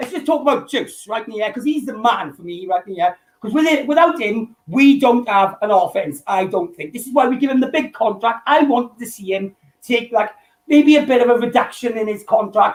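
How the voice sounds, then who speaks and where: Here a man with a strong Welsh accent speaks at a fairly quick pace and an extremely high pitch, with lively intonation and big swings in loudness. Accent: thick Welsh. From Wales. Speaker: fan caller. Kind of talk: casual chat.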